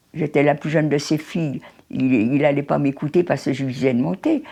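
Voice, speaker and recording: Her pace is moderate. The woman's pitch runs very deep and low. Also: quiet background. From France, Paris. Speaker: Holocaust survivor. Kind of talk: testimony. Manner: halting.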